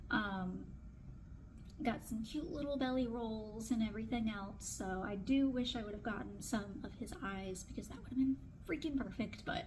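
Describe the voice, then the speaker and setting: This woman speaks with a fairly high pitch and ordinary pitch variation, and audible room echo surrounds her voice. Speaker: newborn photographer. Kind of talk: casual vlog tutorial. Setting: photo studio. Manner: fast.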